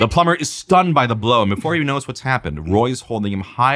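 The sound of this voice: The delivery is an unforced reading voice. Its intonation is lively.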